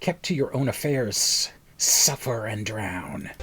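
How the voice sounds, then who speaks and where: A man's raspy, hissing, put-on character voice at a medium pitch, with lively intonation and a fairly slow pace. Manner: menacing.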